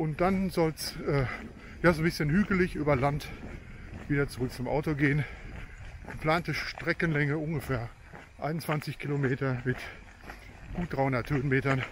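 A somewhat breathy man speaks with fairly even intonation and long, frequent pauses. The sound is dry with no echo, over light background noise. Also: moderate pace. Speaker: hiking vlogger. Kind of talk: casual vlog chat. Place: open country. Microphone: phone near.

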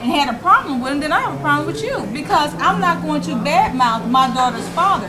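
A woman with a high-pitched voice speaks as noticeable background noise carries on. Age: 50s. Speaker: talk show co-host. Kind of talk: live panel discussion. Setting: live show with audience in a bar. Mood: firm, opinionated. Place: meeting room. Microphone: lapel.

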